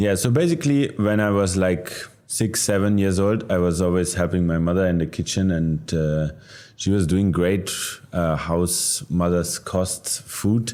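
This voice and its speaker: A man in a German accent with a very deep, low pitch, ordinary pitch variation, very even loudness, a fairly slow pace and noticeable background noise. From Germany. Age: 30s. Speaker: chef. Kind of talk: interview. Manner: halting, with frequent fillers.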